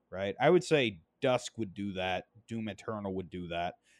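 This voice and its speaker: A man's voice, very clean recording with a silent background, dry and close with no echo. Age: 20s. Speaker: gaming podcast host. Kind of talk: solo casual commentary.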